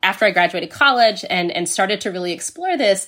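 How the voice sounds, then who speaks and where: Her pitch swings very widely as a woman with an American accent speaks in a bright, sharp tone. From United States. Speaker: history professor. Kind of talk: interview.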